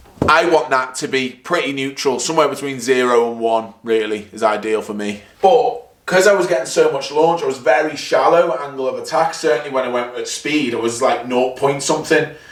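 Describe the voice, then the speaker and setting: Amid noticeable background noise and audible room echo, a man with a fairly high pitch and ordinary pitch variation talks at a fairly quick pace with hardly any pauses. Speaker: golf vlogger. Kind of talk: golf practice vlog.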